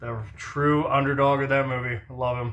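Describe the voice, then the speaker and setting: A man speaks at a moderate pace with a fairly high voice. The room gives off an audible echo. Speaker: commentary vlogger. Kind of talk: casual monologue rant. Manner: hyper; slurred speech.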